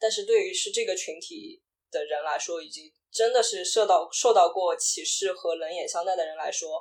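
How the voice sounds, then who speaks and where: A female voice at a middling speed, its loudness rising and falling sharply. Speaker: video producer and LGBTQ podcaster. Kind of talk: casual interview chat.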